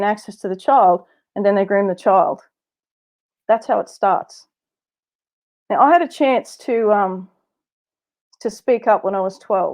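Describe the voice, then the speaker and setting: Against a quiet background, a woman with an Australian accent speaks at a moderate pace in a fairly high pitch, with ordinary pitch variation and long, frequent pauses. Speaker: abuse survivor and speaker. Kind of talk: testimony.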